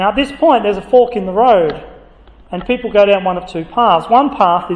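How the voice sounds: Natural voice reading, with ordinary variation in pitch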